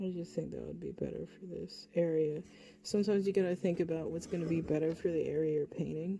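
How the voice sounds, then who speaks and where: Soft-spoken woman at a very fast pace, with big swings in loudness. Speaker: hobby painter. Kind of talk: painting tutorial. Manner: laid-back.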